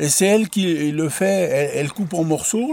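A man talks at a very slow pace with a high pitch. His intonation is lively. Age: 70s. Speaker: retired laborer. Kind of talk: casual chat.

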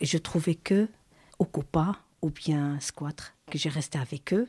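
Captured very cleanly in a silent background with a dry, close sound and no echo, a woman speaks at a very slow pace in a somewhat breathy voice with a dark, mellow tone. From abroad. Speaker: migrant mother, former squatter. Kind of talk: testimony. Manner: halting.

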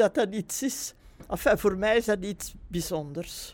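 In a very clean recording with a silent background, a woman talks at a very slow pace with ordinary pitch variation. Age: 80s+. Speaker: retired nurse. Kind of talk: testimony.

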